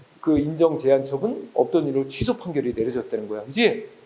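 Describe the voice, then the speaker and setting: With noticeable background noise, a man speaks using very wide pitch swings. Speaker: exam prep law lecturer. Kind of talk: lecture. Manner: slow, unhurried; casual, conversational.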